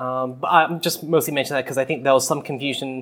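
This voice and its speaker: With an Australian accent, a man speaks at a very fast pace with fairly high pitch and fairly even intonation. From Australia, New South Wales. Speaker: podcast co-host. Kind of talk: casual chat. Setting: remote call.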